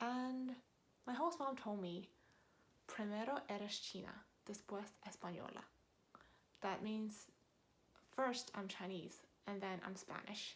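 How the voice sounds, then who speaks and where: A woman with an American accent speaks at a fairly slow pace with long, frequent pauses, her voice somewhat breathy against audible room echo. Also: medium pitch for a woman, ordinary pitch variation. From New York, US. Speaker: vlogger. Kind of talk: casual talk to camera. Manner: conversational with fillers.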